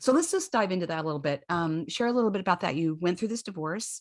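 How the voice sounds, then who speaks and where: A woman with an unremarkable speaking voice talks at medium pitch with ordinary pitch variation against a quiet background. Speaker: podcast host. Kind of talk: podcast intro and interview questions.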